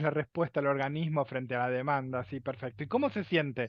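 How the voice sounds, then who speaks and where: A normal speaking voice from a man, fairly high in pitch, with ordinary pitch variation and a fairly quick pace. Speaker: lecturer on emotions. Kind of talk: lecture. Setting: video call.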